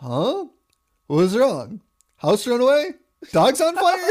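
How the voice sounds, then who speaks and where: A put-on character voice with a fairly high pitch moves at a fairly slow pace. Its pitch swings very widely. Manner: groggy.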